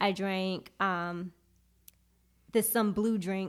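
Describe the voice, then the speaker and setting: A woman speaks with a New York accent in a medium-pitched, monotone, flat delivery. The recording is very clean with a silent background. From Brooklyn, New York (Flatbush). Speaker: poet. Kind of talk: casual chat.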